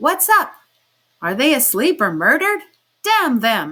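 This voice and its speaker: A woman's shouted put-on character voice, high-pitched and fairly slow, with very wide pitch swings. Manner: bawling, shouting, impatient.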